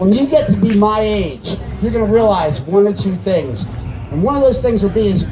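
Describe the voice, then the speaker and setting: A man speaks at a moderate pace with a high pitch and lively intonation. Audible room echo and noticeable background noise surround him. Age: 60s. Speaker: cannabis activist speaker. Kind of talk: rally speech. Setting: outdoor stage with audience.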